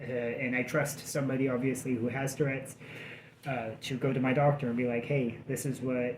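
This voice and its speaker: In a room with audible echo, a man talks at a fairly quick pace. His medium-pitched, somewhat breathy voice stays monotone and flat. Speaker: vlogger in addiction recovery. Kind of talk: casual vlog update. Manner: halting, many fillers.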